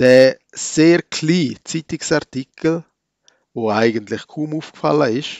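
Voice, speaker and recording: A man with a normal speaking voice talks fairly slowly, his fairly high pitch showing ordinary pitch variation. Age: 40s. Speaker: church podcaster. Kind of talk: reflective sermon-style monologue.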